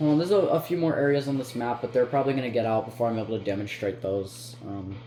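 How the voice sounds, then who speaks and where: A man talks at a very fast pace at medium pitch with ordinary pitch variation while music plays in the background. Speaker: gaming content creator. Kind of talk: gameplay tutorial commentary. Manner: halting, many fillers and restarts.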